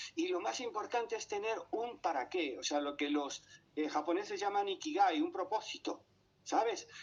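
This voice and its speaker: Pitched high, a man talks with very wide swings in his pitch. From Panama. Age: 70s. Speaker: painter and psychologist. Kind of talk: radio interview. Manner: halting, many fillers.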